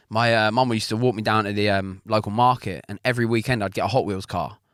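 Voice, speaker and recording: A man with an Essex accent talks at a very fast pace in a fairly low voice with fairly even intonation. The recording is very clean and the background silent. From England, Essex. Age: 30s. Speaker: automotive YouTuber. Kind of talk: casual chat.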